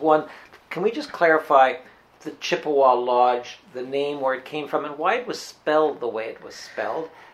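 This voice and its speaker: Moderate pace with a Canadian accent. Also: man. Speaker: radio host. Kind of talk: interview. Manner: halting, lots of fillers.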